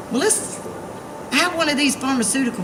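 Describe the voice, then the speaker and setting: A woman with an Alabama accent and lively intonation, amid noticeable background noise and audible room echo. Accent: Southern US (Alabama). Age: 40s. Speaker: activist. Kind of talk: rally speech. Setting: outdoors. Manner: animated.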